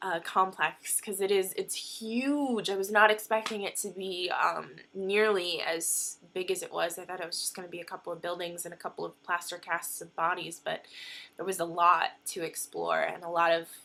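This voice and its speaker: A woman's bright, sharp tone at medium pitch, fairly even intonation, moderate pace and big swings in loudness. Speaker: vlogger. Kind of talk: casual vlog chat; walking tour narration. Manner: hesitant, many fillers.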